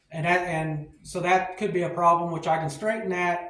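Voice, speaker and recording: Audible room echo fills the space. The talking proceeds at a moderate pace. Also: man. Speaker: car builder and YouTuber. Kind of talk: workshop tutorial. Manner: halting, self-correcting. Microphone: cheap mics with technical problems.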